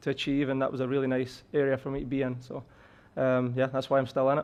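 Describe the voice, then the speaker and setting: A man at a very fast pace, fairly high in pitch, with a slight Scottish accent. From Scotland. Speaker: college soccer head coach. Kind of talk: podcast interview. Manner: hesitant, many fillers and repetitions.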